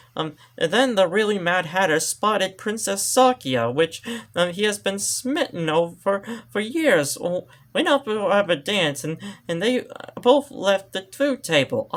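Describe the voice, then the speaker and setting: A put-on character voice at a moderate pace. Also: man, high pitch for a man. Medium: read story.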